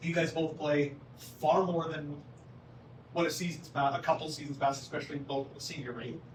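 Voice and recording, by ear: A man talks at a fairly quick pace in a fairly high pitch. His intonation is fairly even, with faint background noise.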